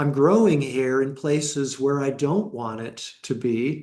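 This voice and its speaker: A man talks at a fairly slow pace and a fairly high pitch, with a plain, everyday voice. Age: 60s. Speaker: meditation teacher. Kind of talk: dharma talk.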